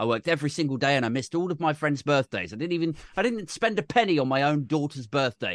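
A man's fairly high voice at a very fast pace, lively in intonation, against a quiet background. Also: dry, close sound with no echo. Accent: British. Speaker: podcaster and political YouTuber. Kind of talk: casual chat.

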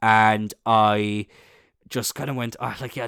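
An Irish accent comes through on a very clean recording with a silent background. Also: man. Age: 20s. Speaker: podcast host. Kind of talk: casual chat, solo podcast monologue. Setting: home recording with a faulty, choppy microphone. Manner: casual, chatty, swears a lot.

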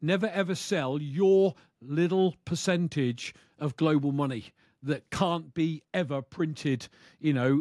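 Speaking fairly slowly with a British accent, a man with a fairly high pitch keeps his loudness very even and uses ordinary pitch variation, the sound dry and close with no echo. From UK. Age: 60s. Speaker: bitcoin YouTuber, retired truck driver. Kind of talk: interview. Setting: video call.

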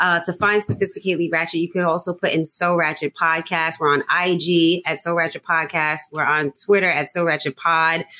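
The woman here has an unremarkable speaking voice at a fairly low pitch. Her pace is moderate. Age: 30s. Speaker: podcast host. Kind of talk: casual chat.

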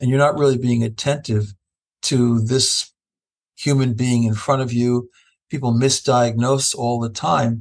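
This man has an unremarkable speaking voice and an American accent. His pitch sits in the medium range, and his intonation stays fairly even. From Ohio, Cleveland. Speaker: professor and bioethicist. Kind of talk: casual interview.

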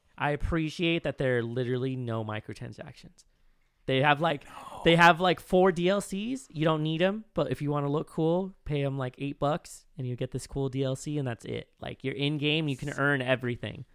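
At a moderate pace, a man speaks in an ordinary speaking voice with a fairly high pitch and ordinary pitch variation. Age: 30s. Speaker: podcast co-host. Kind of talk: casual chat.

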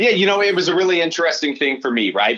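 A man speaks with a Midwestern American accent. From Des Moines, Iowa. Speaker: baseball broadcaster. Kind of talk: casual interview.

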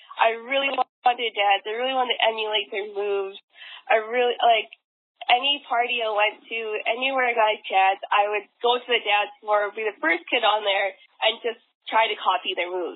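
Speaking fairly quickly in a Western Canadian accent, a woman uses a fairly high pitch with ordinary pitch variation. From Vancouver, Canada. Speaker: dancer and dance competition organizer. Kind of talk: casual interview.

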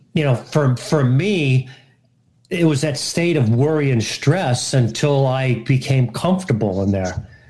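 Speaking at a fairly slow pace, a man with a medium pitch and a dark, mellow tone sounds somewhat breathy, keeping his loudness very even while his intonation stays lively. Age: 60s. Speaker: retired engineer in recovery. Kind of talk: casual chat. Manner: halting, many fillers.

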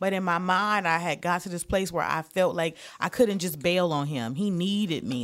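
In a very clean recording with a silent background, a woman with an unremarkable speaking voice and an American accent talks at a fairly quick pace, her fairly low pitch showing ordinary variation. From Detroit, Michigan. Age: 40s. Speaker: comedian. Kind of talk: casual chat.

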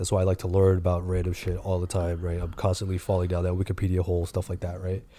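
With an American accent, a man speaks at a very fast pace with hardly any pauses, his very deep, low pitch somewhat breathy, dark and mellow in tone, and monotone, flat in intonation. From US East Coast. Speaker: podcast co-host. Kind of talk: casual chat.

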